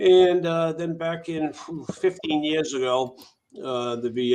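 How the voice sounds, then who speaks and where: This is a man speaking. He has an American accent. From Massachusetts, Worcester. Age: 60s. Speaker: air force veteran, charity founder. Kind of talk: interview. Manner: halting, many fillers.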